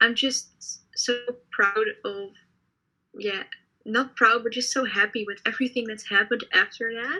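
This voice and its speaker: A woman's bright, sharp voice, fairly high in pitch, with fairly even intonation. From Netherlands. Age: 20s. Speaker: cosplayer. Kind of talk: casual chat.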